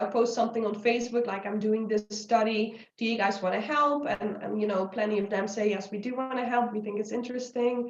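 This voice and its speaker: The speaker has a Dutch accent. The pace is fairly quick. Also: woman. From Netherlands. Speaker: anthropology researcher. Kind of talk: interview conversation.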